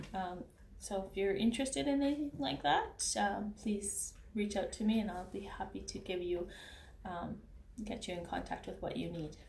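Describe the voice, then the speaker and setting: Room echo is audible as a woman speaks at a medium pitch. Her pace is moderate and her intonation lively. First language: not English. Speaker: beauty consultant and vlogger. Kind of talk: casual vlog commentary. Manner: halting, many fillers and restarts.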